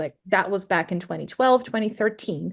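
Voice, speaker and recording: A medium-pitched woman with a Greek accent and ordinary pitch variation, against a quiet background. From Greece. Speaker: SEO and content marketing specialist. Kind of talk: podcast interview.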